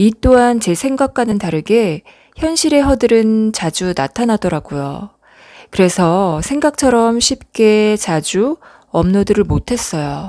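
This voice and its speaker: At a very slow pace, a woman speaks with a fairly high pitch and very wide pitch swings, her tone dark, mellow, soothing and gentle. The sound is dry and close with no echo. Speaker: late-night radio-style ASMR host. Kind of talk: late-night radio comfort talk. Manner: soft, soothing, gentle.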